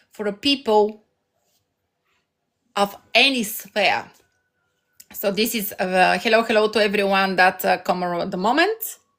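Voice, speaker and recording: A woman with a Bulgarian accent at medium pitch and a fairly slow pace, with long, frequent pauses. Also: ordinary pitch variation. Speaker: life coach streamer. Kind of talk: live stream motivational talk. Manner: halting.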